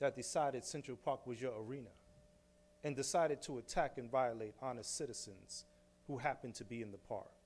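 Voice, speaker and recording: With a New York accent, a man talks at a fairly quick pace. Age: 40s. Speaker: exoneree, speaker; speaker. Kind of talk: public talk. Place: hall. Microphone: podium.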